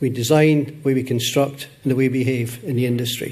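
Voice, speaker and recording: The speaker has a Scottish accent and a monotone, flat intonation at a moderate pace. Audible room echo surrounds the voice. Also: man. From Scotland. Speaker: conference session moderator. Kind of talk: conference talk.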